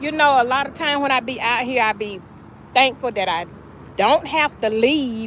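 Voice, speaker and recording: This woman has a Southern US accent. She talks at a moderate pace. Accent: country Southern. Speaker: small business owner livestreaming sales. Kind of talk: casual livestream chat. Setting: outdoors at a sales stand.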